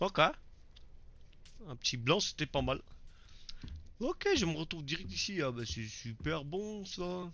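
Long pauses break in frequently. Overall the talking is very slow. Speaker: gaming YouTuber. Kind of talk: let's play commentary. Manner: casual and excitable.

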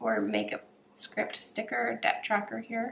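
A quiet woman at a fairly slow pace, with light background noise. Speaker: planner vlogger. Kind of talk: tutorial. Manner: casual, filler-heavy. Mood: relaxed, chatty.

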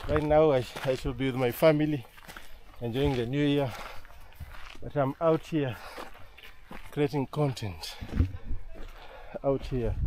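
Over light background noise, a man speaks at a fairly slow pace with long, frequent pauses and fairly even intonation, the sound dry with no echo. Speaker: travel vlogger. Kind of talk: casual vlog chat. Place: open country. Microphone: phone near.

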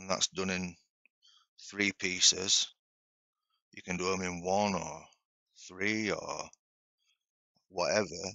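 Against a quiet background, the speech moves at a very slow pace in a monotone, flat intonation, with a dry sound and no echo. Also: man. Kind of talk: tutorial. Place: workshop.

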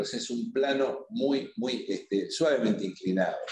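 A man speaks at a medium pitch with lively intonation and a slightly mellow tone. Audible room echo surrounds the voice.

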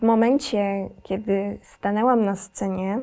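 The woman's pitch is fairly high. She keeps her intonation fairly even. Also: quiet background. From Podkarpacie, south-east Poland. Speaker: singer and violinist; interview guest. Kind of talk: interview. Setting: recording studio. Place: studio.

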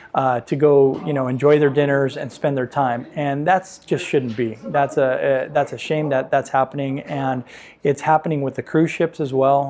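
With a Southern California accent, a man talks in a fairly high voice with fairly even intonation, hardly any pauses and light background noise. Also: moderate pace. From San Pedro, Los Angeles, California. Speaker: real estate agent and business owner. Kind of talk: interview answer. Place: home room. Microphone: lapel.

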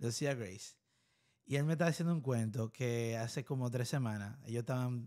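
A man's dark, mellow voice, fairly quick in pace, with ordinary pitch variation over a quiet background. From Dominican Republic. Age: 20s. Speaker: podcast host. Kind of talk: casual interview. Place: studio. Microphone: studio mic.

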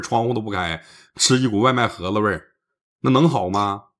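With a plain, everyday voice, this man talks fairly quickly and his pitch moves in a normal way. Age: 40s. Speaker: livestream advice host. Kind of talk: live-stream call-in advice. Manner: blunt, lively.

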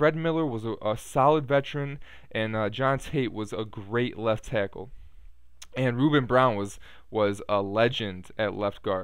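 A man at medium pitch, fairly slow pace and ordinary pitch variation, with a dry sound with no echo over a quiet background. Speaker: Bears fan video blogger. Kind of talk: angry sports rant, venting about a Bears loss with heavy profanity, aimed at the camera. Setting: home computer with headset mic, recorded video. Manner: rambling, filler-heavy ('uh', 'um'), casual. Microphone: webcam.

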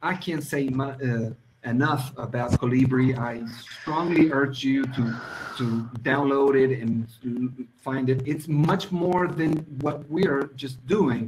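Over light background noise, a man talks at a very slow pace. His pitch sits fairly high and moves in an ordinary way. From Chile. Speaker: education project presenter; presenter. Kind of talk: presentation. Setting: video call. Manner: halting. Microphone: video call.

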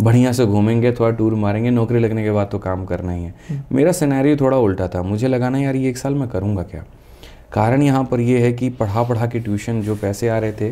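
This man's medium-pitched voice has a dark, mellow tone. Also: ordinary pitch variation, moderate pace. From Bihar, West Champaran (Bettiah); Bihar. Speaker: maths teacher; teacher as podcast guest. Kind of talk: interview. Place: studio. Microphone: studio mic.

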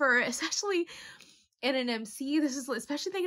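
Against a quiet background, a woman speaks at a high pitch with ordinary pitch variation. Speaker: anime reaction vlogger. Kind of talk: casual commentary. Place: home room.

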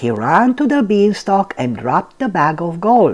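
A reading voice left unforced

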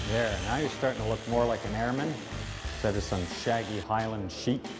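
A man at a medium pitch and moderate pace, with ordinary pitch variation and music in the background. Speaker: drill instructor. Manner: barking, commanding.

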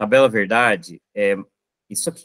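A man's voice with a bright, sharp tone. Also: quiet background. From Minas Gerais, Brazil. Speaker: math teacher. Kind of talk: online lecture solving exam questions. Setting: live online class with chat. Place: home room. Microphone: webcam.

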